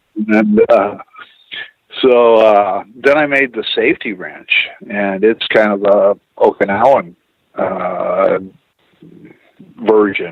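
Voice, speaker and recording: A man talks at a very slow pace with a Pacific Northwest accent. His speech has long, frequent pauses. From Pacific Northwest US, Tacoma Washington. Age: 60s. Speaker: martial arts instructor. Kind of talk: casual interview chat. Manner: halting, many fillers.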